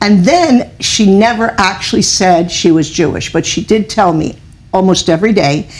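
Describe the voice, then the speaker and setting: A woman at a moderate pace, medium in pitch, with ordinary pitch variation. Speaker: author. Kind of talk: interview.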